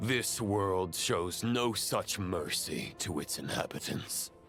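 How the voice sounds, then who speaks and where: With clear music in the background, a man puts on a character voice, fairly low in pitch with lively intonation, at a fairly slow pace. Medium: video game. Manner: formal, solemn, unyielding.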